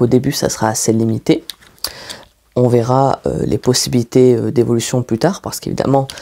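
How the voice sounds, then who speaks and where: With a dark, mellow tone, a man talks at a moderate pace using fairly even intonation. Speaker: ASMR creator and web-series maker. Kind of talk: casual talk to camera in whisper/soft-spoken ASMR style. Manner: whispered, soft-spoken.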